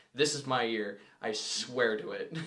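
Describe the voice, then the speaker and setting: A man at a medium pitch speaks with ordinary pitch variation, and audible room echo surrounds him. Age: 20s. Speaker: podcast co-host. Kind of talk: casual chat.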